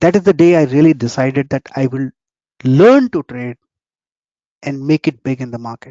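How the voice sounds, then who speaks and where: Moderate pace from a man here. His pitch varies in an ordinary way. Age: 60s. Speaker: trading mentor. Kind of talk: webinar talk. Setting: online webinar.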